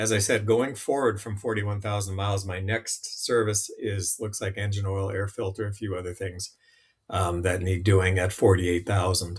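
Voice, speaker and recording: At a moderate pace, a man speaks in a somewhat breathy voice with monotone, flat intonation. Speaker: app demonstrator. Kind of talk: tutorial. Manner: casual, with fillers.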